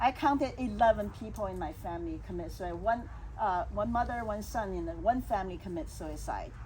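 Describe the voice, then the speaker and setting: The woman speaks at a fairly quick pace, with audible room echo around her. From China. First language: Chinese. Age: 60s. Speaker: salon host and speaker. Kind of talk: personal testimony in a casual talk.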